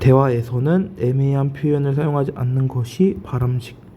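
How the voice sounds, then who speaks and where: Echo from the room can be heard as he speaks fairly slowly. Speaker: Korean college entrance English teacher. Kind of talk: lecture. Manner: speeding up.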